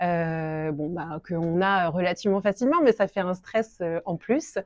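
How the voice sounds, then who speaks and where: A woman at a fairly low pitch, with ordinary pitch variation and a fairly slow pace. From France. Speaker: shop owner. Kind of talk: interview. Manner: hesitant, many fillers.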